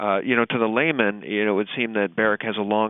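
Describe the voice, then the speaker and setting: A man with a plain, everyday voice, fairly low in pitch, with fairly even intonation. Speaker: podcast host. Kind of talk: podcast interview host talk.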